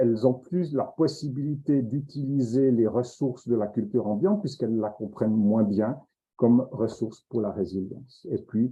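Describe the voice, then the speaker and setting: A man's fairly slow speech at medium pitch, with ordinary pitch variation. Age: 60s. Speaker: professor. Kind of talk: lecture. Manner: halting.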